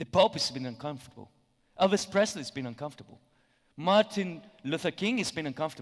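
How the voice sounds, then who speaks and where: Speaking very fast with a Spanish accent, the voice has lively intonation and big swings in loudness. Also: man, high pitch for a man. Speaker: conference speaker. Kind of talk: conference talk. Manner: hesitant, many fillers.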